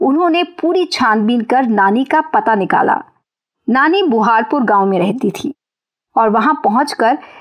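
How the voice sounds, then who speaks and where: A woman talks at a high pitch. Her pitch swings very widely. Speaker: podcast host. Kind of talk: scripted news narration. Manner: cheerful.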